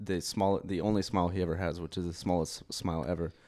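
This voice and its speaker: A man talks at a very fast clip in a dark, mellow tone. The recording is very clean, with a silent background. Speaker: podcast host. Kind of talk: casual banter. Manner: joking, interrupting.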